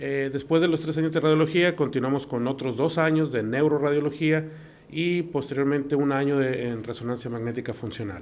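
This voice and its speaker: Fairly even intonation marks this man's fairly high voice. He talks at a fairly quick pace. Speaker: neuroradiologist. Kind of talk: interview. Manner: halting.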